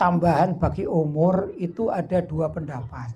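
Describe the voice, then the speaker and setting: A man talks at a fairly slow pace. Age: 50s. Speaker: Islamic cleric. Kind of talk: sermon. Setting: religious gathering with audience. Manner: conversational, asks audience questions.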